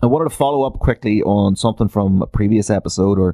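A man's fairly low voice at a very fast pace. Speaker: solo podcast host. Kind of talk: casual monologue. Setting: home studio. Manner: animated.

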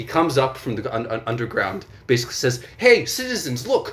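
A man with a non-native accent at a fairly quick pace. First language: not English. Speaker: podcast co-host. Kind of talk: casual chat, storytelling.

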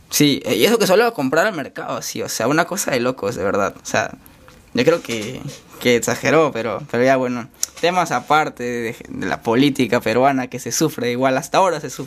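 Over noticeable background noise, the man's speech moves at a fairly quick pace. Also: medium pitch for a man, ordinary pitch variation, big swings in loudness. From Chiclayo, northern coast of Peru. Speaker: podcast host, university student. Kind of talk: casual interview.

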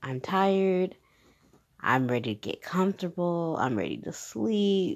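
Against a quiet background, a woman speaks in an animated tone, her fairly low voice making very wide pitch swings. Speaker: podcast host. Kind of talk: casual monologue. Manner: loud.

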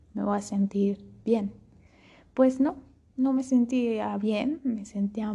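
Somewhat breathy, a woman speaks at a very slow pace with fairly even intonation. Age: young. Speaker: podcast host. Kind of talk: personal monologue.

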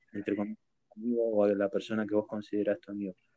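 Here a man speaks in a Rioplatense accent at a fairly low pitch. His intonation is monotone and flat. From Argentina. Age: 20s. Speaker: streamer and podcast host. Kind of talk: casual chat.

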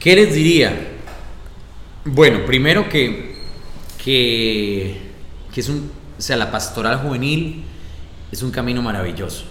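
Speaking very slowly with long, frequent pauses, a man with a Costa Rican accent uses lively intonation at a medium pitch, with audible room echo and noticeable background noise. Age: 20s. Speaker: radio announcer and youth ministry coordinator. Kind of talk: casual interview chat. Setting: parish office room with small audience.

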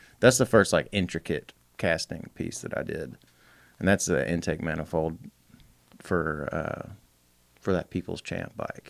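A man with a very deep, low voice and vocal fry speaks fairly slowly with lively intonation and long, frequent pauses. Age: 30s. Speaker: motorcycle builder. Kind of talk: casual chat.

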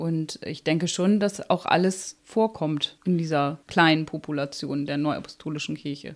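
In a very clean recording with a silent background, a woman with a very deep, low voice speaks fairly slowly with hardly any pauses. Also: fairly even intonation. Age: 30s. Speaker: psychologist. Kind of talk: interview.

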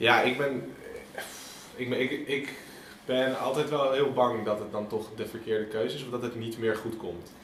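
A man at a medium pitch and moderate pace, with fairly even intonation, audible room echo and noticeable background noise. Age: 20s. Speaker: gap-year program assistant coach. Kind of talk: casual chat. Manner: halting.

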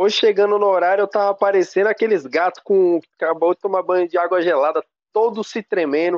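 Here a man with a high pitch talks at a fairly quick pace with fairly even intonation. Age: 20s. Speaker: DJ. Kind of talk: casual interview.

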